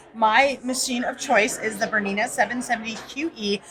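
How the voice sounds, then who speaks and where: A woman's voice over noticeable background noise. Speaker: quilting teacher and author. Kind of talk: promotional interview. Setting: convention floor. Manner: fast.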